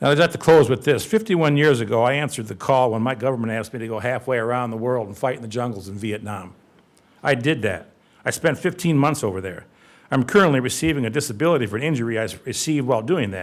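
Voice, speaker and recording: Over a silent background in a very clean recording, a man at medium pitch talks very fast with lively intonation. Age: 70s. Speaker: Vietnam veteran and homeowner appealing a zoning decision. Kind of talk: public hearing testimony. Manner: halting.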